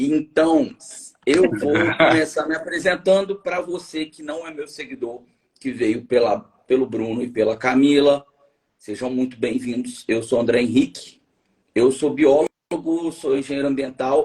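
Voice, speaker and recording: Speaking fairly slowly, a man uses a fairly high pitch that rises and falls in an ordinary way. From Minas Gerais, Brazil. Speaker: biologist and environmental engineer, live show host. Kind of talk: live stream interview. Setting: online live stream. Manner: animated.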